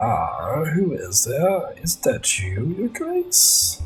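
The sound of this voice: A man puts on a croaky character voice. He speaks at a very slow pace.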